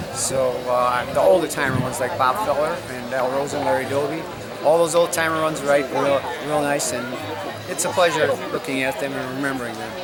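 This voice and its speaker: Over crowd noise and audible room echo, a man with an American accent speaks at a fairly quick pace and fairly high pitch in a fairly even intonation. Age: 70s. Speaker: class reunion attendee, retired factory worker. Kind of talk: casual interview.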